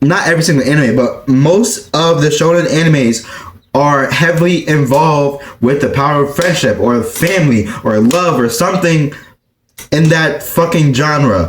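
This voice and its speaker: A fairly high-pitched man at a moderate pace, very even in loudness, with audible room echo. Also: ordinary pitch variation. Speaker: anime YouTuber. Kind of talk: casual chat. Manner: animated.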